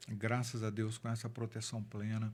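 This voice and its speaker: A man's medium-pitched voice runs in a monotone, with flat intonation. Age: 60s. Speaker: city councillor. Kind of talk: interview testimony.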